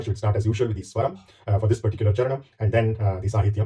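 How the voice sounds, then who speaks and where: Speaking at a very fast pace, a man with a medium pitch and a dark, mellow, somewhat breathy tone keeps his intonation fairly even. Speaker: spiritual commentator. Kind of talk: monologue introduction. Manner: hesitant fillers.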